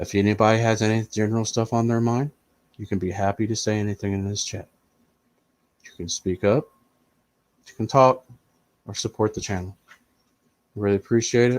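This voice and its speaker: With an American accent, a man talks at a fairly quick pace with long, frequent pauses, in a dry, close sound with no echo. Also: fairly low pitch for a man. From US Midwest, Indiana. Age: 40s. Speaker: streamer. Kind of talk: casual live-stream chat.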